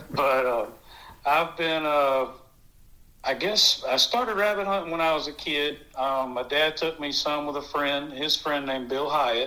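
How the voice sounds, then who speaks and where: Fairly high-pitched for a man, his bright, sharp tone moves at a fairly slow pace with ordinary pitch variation. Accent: Southern US. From US South, South Carolina (Blythewood). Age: 40s. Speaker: rabbit hunter, dog owner. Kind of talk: casual interview. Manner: hesitant, many fillers.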